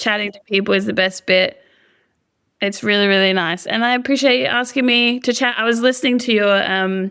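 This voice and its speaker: Talking at a fairly quick pace, a woman with an Australian accent and fairly high pitch uses ordinary pitch variation in a bright, sharp tone, keeping her loudness very even. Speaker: singer-songwriter. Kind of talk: interview. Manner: casual, hesitant with fillers.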